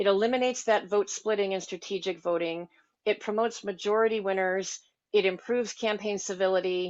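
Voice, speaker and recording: Speaking fairly quickly, a woman keeps her medium-pitched voice fairly even in intonation. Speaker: voting reform advocate. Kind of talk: presentation. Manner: fast.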